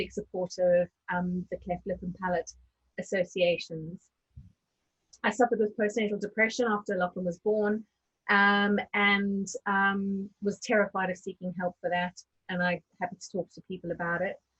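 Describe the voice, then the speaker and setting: In a South African accent, a woman speaks at a moderate pace with monotone, flat intonation. The sound is dry and close, with no echo. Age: 40s. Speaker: diversity and inclusion speaker. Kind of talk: webinar panel discussion.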